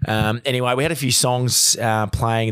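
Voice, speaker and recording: A medium-pitched man's voice in an Australian accent, at a moderate pace. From Australia, Victoria (Bendigo) and Adelaide. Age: 30s. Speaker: recruiter. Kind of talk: storytelling in casual chat. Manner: halting, many fillers and repeats.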